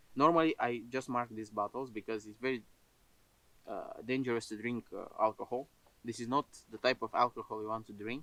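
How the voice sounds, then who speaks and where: In a dry, close sound with no echo, a man with a non-native accent and a bright, sharp tone talks at a fairly quick pace and medium pitch, with fairly even intonation and big swings in loudness. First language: not English. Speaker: outdoor cooking vlogger. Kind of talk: casual outdoor vlog talk. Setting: outdoors in a forest. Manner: halting, many filler sounds.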